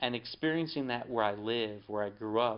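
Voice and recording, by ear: A man with an American accent, a clear, smooth tone, ordinary pitch variation and a moderate pace. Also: medium pitch for a man.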